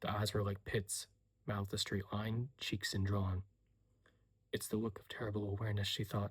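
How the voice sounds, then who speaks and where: Soft-spoken and somewhat breathy, a man talks at a fairly quick pace with fairly low pitch and monotone, flat intonation on a very clean recording with a silent background. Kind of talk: soft-spoken audiobook reading of a novel excerpt. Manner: soft-spoken, quiet, ASMR-style.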